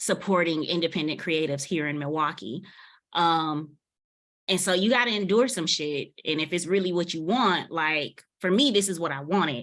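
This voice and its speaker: A woman's unremarkable speaking voice sits fairly low in pitch, moving at a moderate pace with ordinary pitch variation. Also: very clean recording, silent background. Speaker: music manager. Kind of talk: panel discussion.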